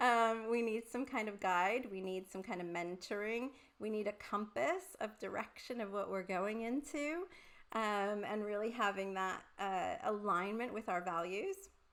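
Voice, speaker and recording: This woman talks at a fairly slow pace in an American accent. Her pitch variation is ordinary. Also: medium pitch for a woman. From Puerto Rico. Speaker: career coach, former academic. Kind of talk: online masterclass presentation. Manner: animated.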